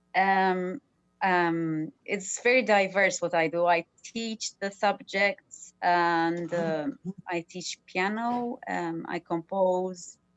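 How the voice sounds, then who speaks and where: A woman speaks at a very slow pace in a Maltese accent. Her pitch is medium, with ordinary variation. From Malta. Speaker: artist, actor and TV/radio presenter. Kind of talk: casual panel discussion. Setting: video call.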